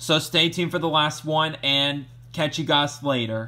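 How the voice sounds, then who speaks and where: A moderate pace from a male speaker. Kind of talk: casual demonstration commentary. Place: home room. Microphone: phone near.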